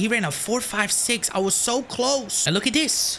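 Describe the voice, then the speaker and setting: Over noticeable background noise, a woman with a fairly high pitch speaks at a fairly slow pace in an animated tone. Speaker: gaming YouTuber. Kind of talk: gameplay commentary.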